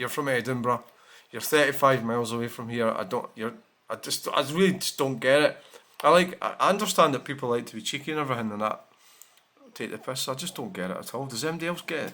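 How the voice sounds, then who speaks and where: A man with a Scottish accent, very fast delivery and a bright, sharp tone. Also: medium pitch for a man, ordinary pitch variation. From Scotland. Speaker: vlogger. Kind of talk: casual vlog talk. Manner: halting.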